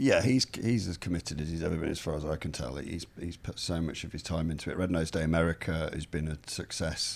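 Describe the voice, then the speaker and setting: This man has an English Midlands accent and a very deep, low pitch. He talks at a very fast pace with ordinary pitch variation. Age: 40s. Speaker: journalist and author. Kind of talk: interview conversation.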